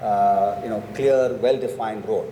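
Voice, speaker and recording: A man talks at a medium pitch, with audible room echo and noticeable background noise around him. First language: not English. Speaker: book author on panel. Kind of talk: panel discussion.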